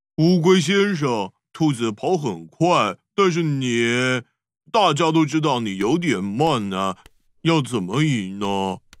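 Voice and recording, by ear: A man's cartoonish character voice in a very clean recording with a silent background. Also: medium pitch for a man, fairly slow pace.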